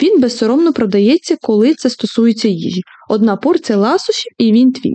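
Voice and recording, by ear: Natural-voiced reading aloud with lively intonation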